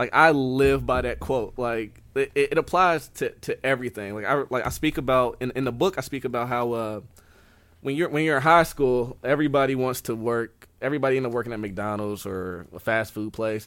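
Recorded very cleanly against a silent background, a man talks in a normal speaking voice at medium pitch, moving at a fairly quick pace with ordinary pitch variation. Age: 20s. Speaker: author and aspiring motivational speaker. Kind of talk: interview.

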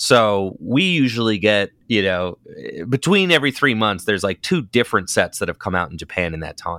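A man speaks at a moderate pace with a fairly low pitch, a bright, sharp tone and very wide pitch swings. The recording is very clean, with a silent background and a dry, close sound with no echo. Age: 30s. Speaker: competitive card game player and content creator. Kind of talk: casual interview chat.

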